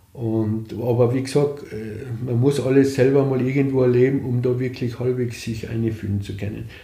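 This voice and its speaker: In a room with audible echo, a medium-pitched man speaks at a moderate pace with fairly even intonation. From Austria, East Tyrol (Lienz area). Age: 60s. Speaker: cancer patient. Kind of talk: interview testimony.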